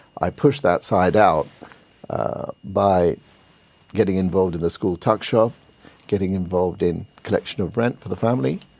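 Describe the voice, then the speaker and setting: In a British accent, the speaker keeps a moderate pace with ordinary pitch variation and long, frequent pauses. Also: man, very deep, low pitch for a man. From UK, British Bangladeshi. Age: 60s. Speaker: entrepreneur. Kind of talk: TV interview.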